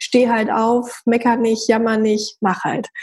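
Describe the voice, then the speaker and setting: A woman speaks at a fairly high pitch in a dark, mellow tone. Her voice is somewhat breathy. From northern Germany, Hamburg. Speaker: entrepreneur and network founder. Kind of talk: interview.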